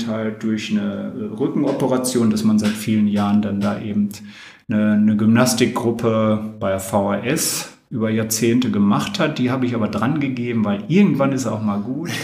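A man's voice carries audible room echo. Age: 60s. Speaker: former handball player and teacher. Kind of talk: interview. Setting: home kitchen.

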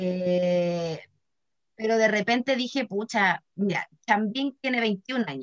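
The sound is dry and close, with no echo. A woman speaks at a very slow pace in a medium pitch. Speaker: podcast co-host. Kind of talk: casual chat. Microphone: laggy connection.

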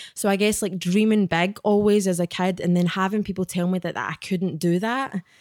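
Recorded very cleanly against a silent background, dry and close with no echo, a woman at medium pitch talks at a fairly quick pace with hardly any pauses in a Glaswegian accent. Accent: Glaswegian Scottish. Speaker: author and spiritual guide. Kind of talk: casual chat. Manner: animated.

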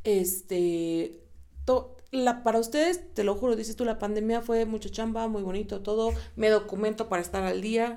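With a dark, mellow tone, a woman talks in a fairly high pitch at a moderate pace. Her pitch varies in an ordinary way. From Mexico, State of Mexico. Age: 20s. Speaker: teacher and radio host. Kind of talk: casual chat.

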